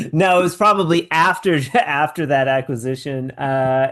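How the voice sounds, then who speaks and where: Against a quiet background, a man with an ordinary speaking voice talks at a fairly high pitch with ordinary pitch variation. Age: 40s. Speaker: podcast host. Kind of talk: casual interview.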